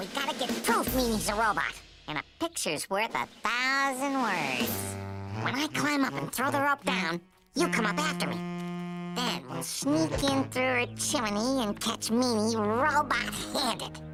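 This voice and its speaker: A cartoonish character voice talks at a moderate pace and a fairly high pitch. Music is clearly audible in the background. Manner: wisecracking, says "man".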